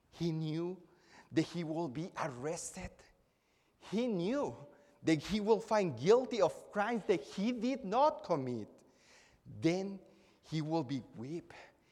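Speech comes at a fairly slow pace. It carries a Spanish accent. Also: man. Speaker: preacher. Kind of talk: sermon. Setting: church. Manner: formal.

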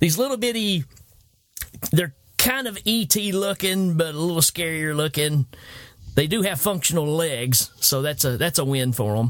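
A man with a Southern US accent speaks at a moderate pace, his fairly high voice swinging very widely in pitch and broken by long, frequent pauses. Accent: Southern US, noticeable. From Tennessee. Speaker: movie podcast host. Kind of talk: casual chat. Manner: animated.

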